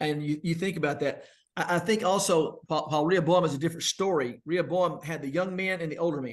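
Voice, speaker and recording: A man talks very fast with ordinary pitch variation, his pitch high. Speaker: minister and church elder. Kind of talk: casual chat.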